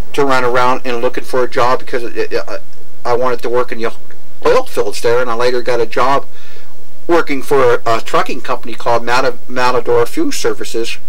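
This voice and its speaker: At a fairly quick pace, a man talks with very even loudness. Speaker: interviewee. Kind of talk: interview answer.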